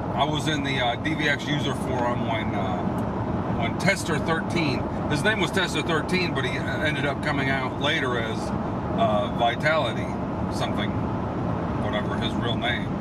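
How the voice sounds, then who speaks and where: A man with long, frequent pauses, dry sound with no echo, and loud background noise. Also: ordinary pitch variation, moderate pace. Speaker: video hobbyist vlogger. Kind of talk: casual vlog chat. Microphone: phone near.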